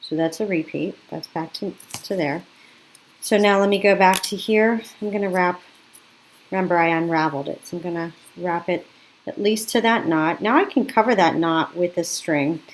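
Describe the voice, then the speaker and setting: Pausing long and often, a woman talks at a moderate pace in a fairly low pitch with ordinary pitch variation. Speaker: craft teacher. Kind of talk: tutorial. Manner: casual, self-correcting.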